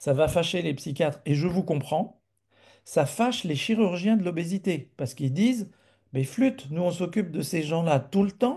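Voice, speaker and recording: A man's high-pitched voice with a dark, mellow tone, lively intonation and big swings in loudness, at a moderate pace against a quiet background. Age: 60s. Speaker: physician presenter. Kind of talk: webinar presentation.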